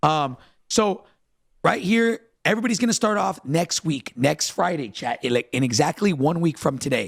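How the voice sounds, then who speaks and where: This man's fairly high voice has vocal fry and an animated tone, recorded with a dry, close sound and no echo. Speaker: gaming podcast host. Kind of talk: live stream podcast discussion. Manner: fast.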